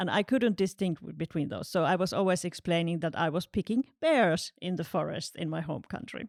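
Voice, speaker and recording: With a Finnish accent, a woman with a fairly low voice talks at a fairly quick pace with hardly any pauses and ordinary pitch variation, in a dry, close sound with no echo on a very clean recording with a silent background. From Finland. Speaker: international office staff. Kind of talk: podcast testimony.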